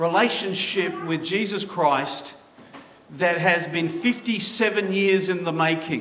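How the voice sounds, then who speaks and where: A high-pitched man raises and projects his voice at a very slow pace, with audible room echo and noticeable background noise. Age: 50s. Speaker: pastor. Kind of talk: sermon.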